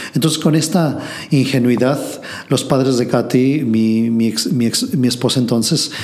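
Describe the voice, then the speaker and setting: A man's medium-pitched voice with ordinary pitch variation, audible room echo and noticeable background noise. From Mexico City. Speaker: entrepreneur, translation company founder. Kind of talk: interview. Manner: halting.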